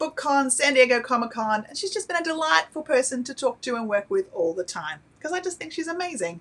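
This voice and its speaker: An animated woman with an Australian accent, talking at a fairly quick pace with very wide pitch swings. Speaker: publisher's channel host. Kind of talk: live stream Q&A hosting.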